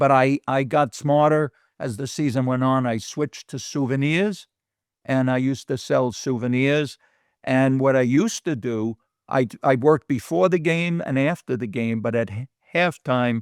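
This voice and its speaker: The man's medium-pitched voice, with ordinary pitch variation, comes through a very clean recording with a silent background. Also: moderate pace. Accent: New York. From New York City (Bronx). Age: 70s. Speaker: guest recalling his childhood. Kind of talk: casual interview chat.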